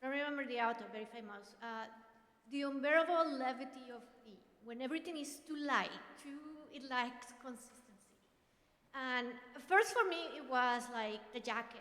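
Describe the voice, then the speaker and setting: In a Mexican accent, a woman at high pitch uses a raised, projected voice with ordinary pitch variation amid audible room echo. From Mexico, Monterrey. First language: Spanish. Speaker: professor. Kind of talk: personal testimony. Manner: loud.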